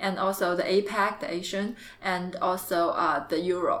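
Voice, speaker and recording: Over noticeable background noise, a woman with a Chinese accent speaks at a moderate pace in a medium pitch. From China, Jiangxi province. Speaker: MBA student. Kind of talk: interview. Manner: halting.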